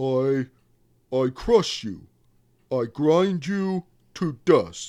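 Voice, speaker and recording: Put-on character voice from a man, fairly high in pitch, very slow, with long, frequent pauses. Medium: read story. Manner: halting, broken speech.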